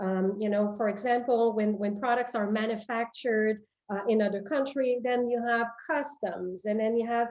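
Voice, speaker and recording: A woman with a French Canadian accent, fairly high pitch and moderate pace. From Quebec, Canada. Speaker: company president. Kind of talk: interview. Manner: halting, many fillers and repetitions.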